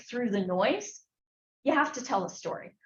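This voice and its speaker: In an American accent, a woman speaks at a fairly high pitch amid audible room echo. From US West Coast (Berkeley, California). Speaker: researcher and former film executive. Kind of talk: lecture. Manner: loud.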